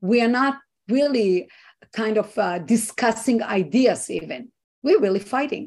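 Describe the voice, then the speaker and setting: Speaking at a fairly slow pace, a woman has a fairly high, somewhat breathy voice. Her intonation is lively. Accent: Israeli. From Israel. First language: Hebrew. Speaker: activist and organization founder. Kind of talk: interview.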